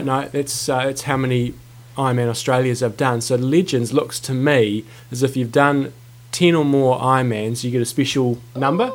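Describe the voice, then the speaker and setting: At a moderate pace, a man with a New Zealand accent speaks at medium pitch with fairly even intonation. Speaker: podcast co-host, coach.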